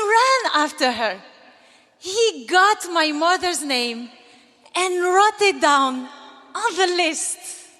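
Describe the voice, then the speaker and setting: With an extremely high, raised and projected voice, a woman speaks very slowly with long, frequent pauses and very wide pitch swings over noticeable background noise. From Algeria. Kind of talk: commencement speech.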